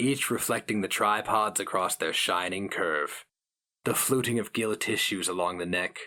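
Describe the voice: Quiet background behind plain reading aloud, with ordinary pitch variation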